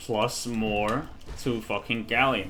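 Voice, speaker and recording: Music plays in the background as a man with a fairly low pitch talks at a very slow pace, with audible room echo. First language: Danish. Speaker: gaming streamer. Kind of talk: casual gameplay commentary. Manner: halting.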